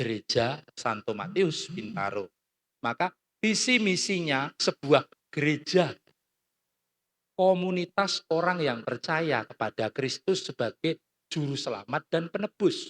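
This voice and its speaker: A man at a fairly slow pace, high-pitched and animated, with very wide pitch swings, on a very clean recording with a silent background. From Central Java (Klaten). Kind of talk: talk.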